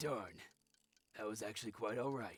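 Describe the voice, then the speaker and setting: A man puts on a raspy character voice at medium pitch, speaking at a moderate pace. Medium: video game. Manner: grumpy, petty, complaining.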